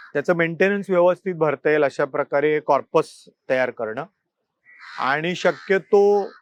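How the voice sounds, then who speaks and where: A man's ordinary speaking voice, fairly high in pitch, with ordinary pitch variation and a dry, close sound with no echo. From Mumbai, Worli. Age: 40s. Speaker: newspaper editor and political candidate. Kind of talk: interview.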